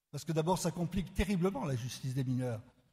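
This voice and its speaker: Pitch variation here is ordinary. The voice belongs to a man. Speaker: law professor. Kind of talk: conference talk.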